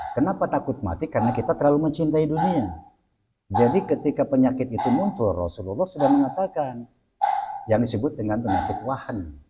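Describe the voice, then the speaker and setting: The man talks at a very fast pace with a fairly high pitch. His pitch swings very widely. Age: 60s. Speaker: Islamic cleric. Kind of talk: religious talk in interview.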